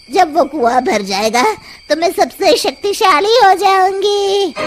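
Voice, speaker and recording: Over clear music in the background, a cartoonish character voice with extremely high pitch speaks at a fairly slow pace. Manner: cackling.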